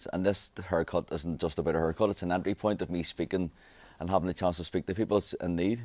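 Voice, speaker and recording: A very fast voice in a Belfast accent, recorded very cleanly against a silent background with a dry, close sound and no echo. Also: man, very deep, low pitch for a man. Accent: Belfast Northern Irish. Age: 40s. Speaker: barber. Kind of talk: interview. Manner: halting.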